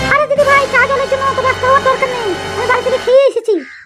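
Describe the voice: A woman uses a cartoonish character voice, squeaky and extremely high-pitched, at a very fast pace. Faint music plays in the background.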